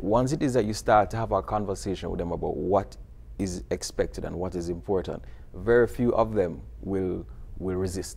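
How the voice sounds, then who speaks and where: With a Jamaican accent, a man speaks at a moderate pace in a very deep, low voice with vocal fry and lively intonation. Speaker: video series producer and teacher. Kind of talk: TV interview.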